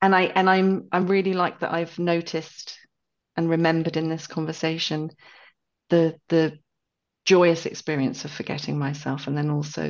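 A woman speaks in an English accent. Her pitch is very deep and low. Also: quiet background. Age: 50s. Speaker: podcast co-host. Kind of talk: casual chat.

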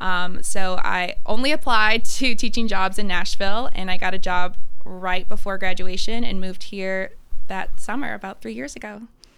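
A woman talks in an American accent with a normal speaking voice at medium pitch. Her pace is moderate, her pitch variation ordinary, and her loudness swings widely. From Ohio. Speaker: singer-songwriter and elementary teacher. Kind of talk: casual interview.

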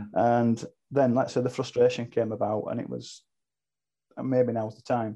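A man with a British accent speaks at medium pitch with monotone, flat intonation. Long, frequent pauses break up his speech. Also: moderate pace. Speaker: online racing team leader. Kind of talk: casual chat.

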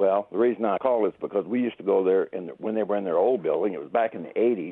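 A man with a plain, everyday voice, fairly low in pitch, talks at a fairly quick pace. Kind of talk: casual chat. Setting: phone call.

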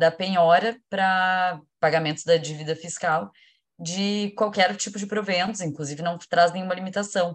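Against a quiet background, a woman with a fairly low pitch speaks with fairly even intonation. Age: 30s. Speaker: lawyer. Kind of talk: panel discussion.

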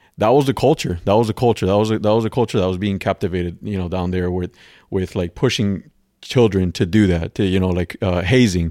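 Fairly low, dark, mellow male voice at a fairly quick pace with ordinary pitch variation, on a very clean recording with a silent background and a dry, close sound with no echo. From Cuba, raised in Florida. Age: 30s. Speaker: firefighter. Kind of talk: casual interview. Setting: in person at host's home. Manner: halting, many repetitions and fillers.

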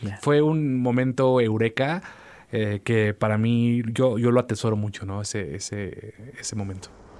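Speaking at a fairly slow pace, a man uses a medium pitch and ordinary pitch variation. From Mexico, Veracruz. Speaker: musician. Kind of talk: interview. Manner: hesitant repetitions, fillers.

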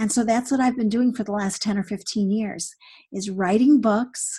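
Somewhat breathy, a woman with a fairly high pitch speaks at a fairly slow pace with ordinary pitch variation. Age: 60s. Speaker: author and women's conference speaker. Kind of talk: interview conversation. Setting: podcast. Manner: animated.

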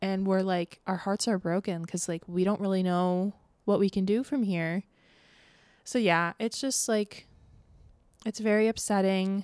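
With an American accent, a woman at medium pitch speaks at a fairly slow pace with fairly even intonation and long, frequent pauses, in a dry, close sound with no echo. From Florida, Tampa Bay area. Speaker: podcast host. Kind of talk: casual monologue. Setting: home, window open. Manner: casual, filler-heavy.

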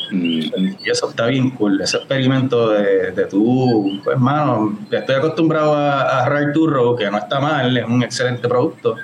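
With a Puerto Rican accent, a man talks at a moderate pace and medium pitch, with ordinary pitch variation and hardly any pauses. His loudness stays very even over noticeable background noise. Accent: Puerto Rican, likened to reggaeton singers. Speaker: homebrewer and beer judge. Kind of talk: casual chat.

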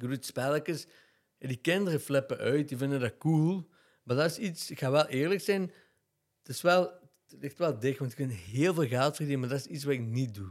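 A man with a plain, everyday voice, fairly high in pitch, with lively intonation at a moderate pace, on a very clean recording with a silent background. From Belgium, Limburg (Genk). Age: 30s. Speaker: theatre maker and Instagram influencer. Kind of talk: casual chat.

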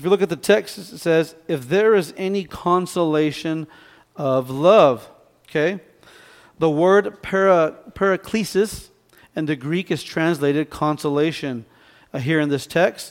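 A man with a plain, everyday voice speaks slowly-ish at a fairly slow pace and a fairly high pitch, with ordinary pitch variation, in a very clean recording with a silent background. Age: 40s. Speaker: pastor. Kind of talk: sermon.

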